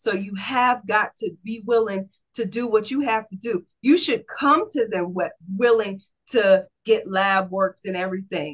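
Against a quiet background, a woman speaks fairly slowly in a fairly high, somewhat breathy voice with ordinary pitch variation. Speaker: holistic health practitioner; guest. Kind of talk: casual interview. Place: home room. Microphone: video call.

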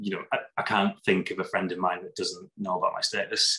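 A man with a northern English accent at a fairly quick pace, against a quiet background. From northern England, Lake District; northern England. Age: 30s. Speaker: HIV advocate and vlogger; vlogger. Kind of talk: interview testimony. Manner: halting, many fillers. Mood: reflective, personal. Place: home room. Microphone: webcam.

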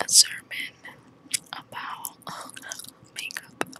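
Whispering and soft-spoken, a woman speaks very slowly in a dry sound with no echo, under loud background noise. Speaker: makeup vlogger. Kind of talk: casual vlog chat. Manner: soft close whisper while chewing gum. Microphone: phone near.

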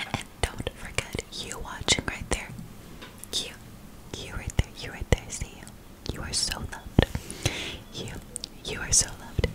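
Whispering at a fairly slow pace, a woman speaks. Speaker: ASMR creator. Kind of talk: ASMR whispering. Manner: soft-spoken, repetitive. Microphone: studio mic.

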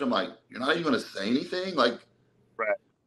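Lively intonation and a bright, sharp tone mark this man speaking with an American accent. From Texas, Dallas. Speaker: bodybuilder and personal trainer; podcast guest. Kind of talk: casual interview, personal life story. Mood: emotional, recounting hard past. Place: home room. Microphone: video call.

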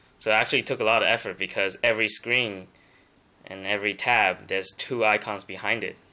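A man with a non-native accent talks very fast in a fairly low, bright and sharp voice with monotone, flat intonation. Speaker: tablet user showing his setup. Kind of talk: tech tutorial talk to camera. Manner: nervous, hesitant. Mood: nervous, hesitant, many ums. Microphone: phone near.

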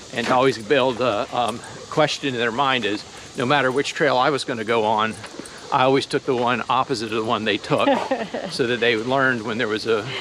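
A man talks at a fairly quick pace with fairly even intonation, the sound dry with no echo but with noticeable background noise. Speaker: dog owner vlogger. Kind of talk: casual vlog chat. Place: forest. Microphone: phone near.

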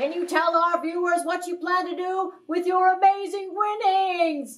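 In a put-on character voice with an extremely high pitch, the speaker goes at a moderate pace. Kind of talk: TV game show hosting. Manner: bubbly, enthusiastic.

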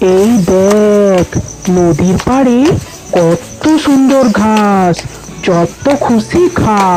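A cartoonish character voice at a fairly high pitch and a very slow pace, over clear background noise. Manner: scolding, anxious.

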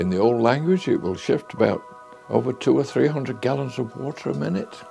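A man with a Yorkshire accent, faint music in the background. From Sheffield, England. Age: 80s+. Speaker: car and tractor collector. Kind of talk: interview answer. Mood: fond, reminiscing. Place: office.

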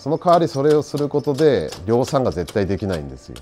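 Faint music can be heard behind the voice. A man speaks at a fairly quick pace. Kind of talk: interview answer. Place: workshop.

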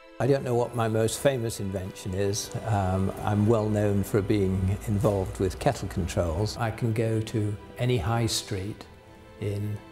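Clear music plays in the background as a man speaks with an English accent. His pitch is fairly low, his pace fairly slow, and his intonation fairly even. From England. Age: 70s. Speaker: inventor. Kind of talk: interview answer. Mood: warm, amused, storytelling.

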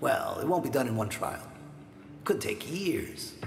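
Faint music plays in the background as a man speaks with audible room echo. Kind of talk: drama dialogue. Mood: calm, veiled threat. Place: home room.

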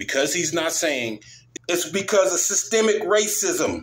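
A man speaks at a fairly slow pace. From United States. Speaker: video blogger. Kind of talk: angry rant. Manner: loud, fiery, repetitive, sarcastic, emphatic. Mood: frustrated, sarcastic.

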